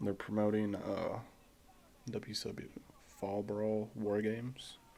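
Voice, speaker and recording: A man speaks quietly. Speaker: wrestling watch-along streamer. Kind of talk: casual commentary. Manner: quiet, low; halting.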